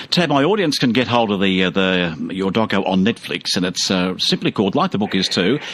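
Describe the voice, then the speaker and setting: Speaking at a fairly quick pace with hardly any pauses, a man with an Australian accent keeps a fairly low pitch, ordinary pitch variation and very even loudness. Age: 60s. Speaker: radio host. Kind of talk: radio interview.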